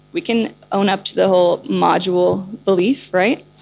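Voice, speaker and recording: A woman speaks in an animated tone over noticeable background noise. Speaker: chief product officer presenting at a conference. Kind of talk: conference presentation. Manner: fast.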